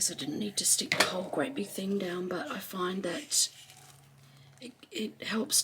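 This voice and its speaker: A relaxed tone comes through at a moderate pace over noticeable background noise. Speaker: crafter, collage video creator. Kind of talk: tutorial craft narration. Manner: casual, relaxed.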